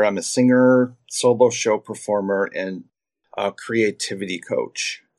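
A man speaks at a medium pitch with ordinary pitch variation. He has a plain, everyday voice. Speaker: creativity coach and singer. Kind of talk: casual interview.

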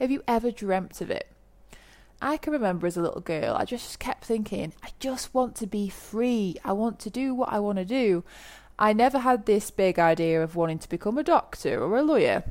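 A woman with an English accent, fairly high pitch, lively intonation and a moderate pace. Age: 30s. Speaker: podcast host, online business coach. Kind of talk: solo podcast monologue. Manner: animated.

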